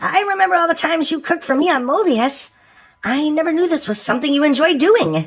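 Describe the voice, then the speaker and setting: A man puts on a squeaky character voice at an extremely high pitch. He rattles along at a very fast pace. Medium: fan dub. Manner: warm, affectionate.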